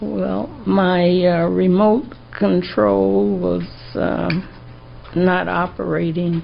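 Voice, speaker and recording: A woman speaks at a very slow pace with long, frequent pauses, amid noticeable background noise and audible room echo. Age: 80s+. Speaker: trial witness. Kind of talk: court testimony. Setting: courtroom.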